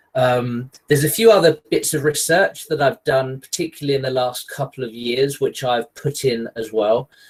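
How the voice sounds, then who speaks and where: Somewhat breathy, a man with an English accent talks at a moderate pace with ordinary pitch variation. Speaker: geography lecturer and researcher. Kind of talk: webinar lecture. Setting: online video call. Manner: hesitant with fillers.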